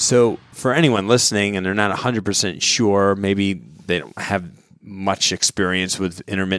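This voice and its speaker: This man has an unremarkable speaking voice, fairly low in pitch with ordinary pitch variation, talking at a fairly slow pace on a very clean recording with a silent background. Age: 40s. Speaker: fitness podcast host. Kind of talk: casual interview. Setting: studio.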